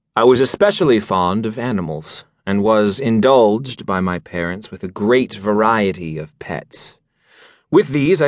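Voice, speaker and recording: A man with a plain, everyday voice and medium pitch speaks at a moderate pace with lively intonation over a quiet background. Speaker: audiobook narrator. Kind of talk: dramatic audiobook narration of a gothic horror story in first person.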